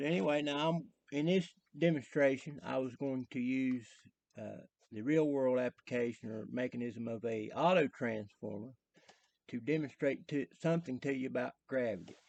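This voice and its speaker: Speaking at medium pitch, a man has a strong Southern West Virginia accent. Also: ordinary pitch variation, moderate pace. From US South, southern West Virginia. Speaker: electrician explaining theory. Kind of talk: tutorial. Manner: casual, hesitant with fillers.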